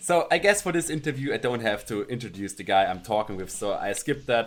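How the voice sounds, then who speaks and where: With a German accent, a man speaks at a medium pitch and a moderate pace. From Alpine region. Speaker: podcast host, interviewer. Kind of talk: online interview. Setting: video call.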